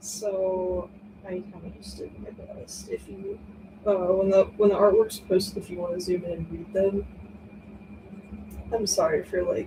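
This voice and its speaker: The pace of this woman's speech is fairly slow. Noticeable background noise runs under her voice. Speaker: streamer drawing live. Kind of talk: casual live stream chat while drawing.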